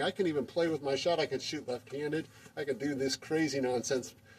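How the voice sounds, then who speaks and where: A man's pitch varies in an ordinary way as noticeable background noise carries on around him. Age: 60s. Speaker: amateur basketball player and video maker. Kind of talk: tutorial. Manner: casual, with many fillers.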